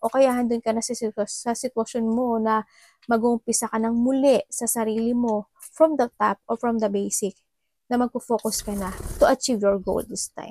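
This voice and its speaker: A woman's fairly high-pitched voice, dark and mellow in tone, monotone and flat, at a moderate pace, with a dry, close sound and no echo. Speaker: tarot reader. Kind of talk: tarot reading.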